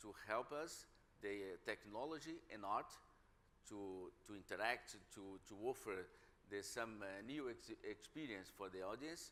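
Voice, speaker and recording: Speaking at a fairly slow pace, a man with a Brazilian Portuguese accent uses lively intonation. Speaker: museum director. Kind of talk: panel discussion. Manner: halting, many repetitions.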